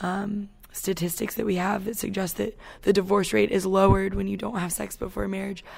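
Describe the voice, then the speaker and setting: A woman speaks at a moderate pace with a medium pitch and some vocal fry. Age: 20s. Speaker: camp staff member. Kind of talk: interview testimony.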